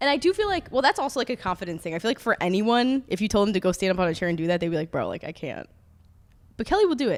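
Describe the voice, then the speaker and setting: Over a very clean recording with a silent background, a woman with an American accent speaks very fast with a fairly high pitch and lively intonation. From Upstate New York. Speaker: podcast co-host. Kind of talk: casual chat. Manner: soft-spoken in groups; filler-heavy, frequent like.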